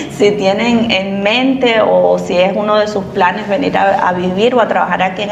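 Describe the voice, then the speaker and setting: The speech moves at a moderate pace with fairly even intonation. Audible room echo and noticeable background noise are present. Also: woman. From Cuba. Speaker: immigrant interviewee. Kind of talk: interview.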